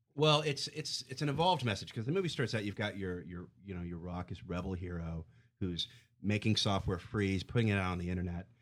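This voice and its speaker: Speaking at a fairly quick pace, a man uses lively intonation at a fairly low pitch. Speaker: film blogger. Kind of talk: casual film discussion. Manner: radio-announcer style delivery.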